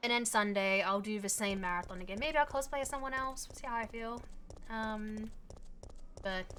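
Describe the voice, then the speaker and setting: A woman speaks at a fairly quick pace in a fairly high, bright and sharp voice, with ordinary pitch variation, big swings in loudness and audible room echo. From Australia. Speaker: video game streamer. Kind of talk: casual live-stream chat while gaming. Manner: casual, hesitant with many fillers.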